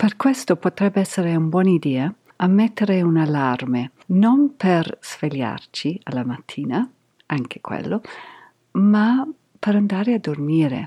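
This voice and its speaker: A woman's fairly low, dark and mellow voice with an English accent, fairly slow, with very wide pitch swings and a dry, close sound with no echo. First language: English (speaking Italian). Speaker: yoga podcast host. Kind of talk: podcast monologue.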